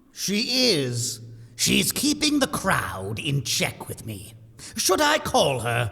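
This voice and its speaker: Using a put-on character voice, the speaker talks very slowly at a low-to-middle pitch. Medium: audio drama. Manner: gruff, terse.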